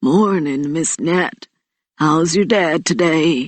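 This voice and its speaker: A woman puts on a raspy character voice, pitched fairly low and delivered at a very slow pace. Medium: read story. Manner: warm, friendly.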